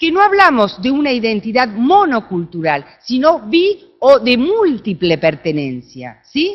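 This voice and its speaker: A woman with an Argentine accent, high in pitch with very wide pitch swings, very slow yet with hardly any pauses. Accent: Argentine, noticeable. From Argentina. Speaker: researcher, conference speaker. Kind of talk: conference talk.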